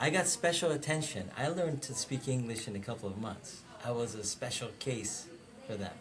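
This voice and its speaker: Noticeable background noise sits behind a man at medium pitch. He talks at a fairly quick pace with lively intonation. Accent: Persian. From Iran, then Fargo, North Dakota from age ten. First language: Persian. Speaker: director of operations, interviewee. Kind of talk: personal testimony. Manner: reflective, with frequent hesitations.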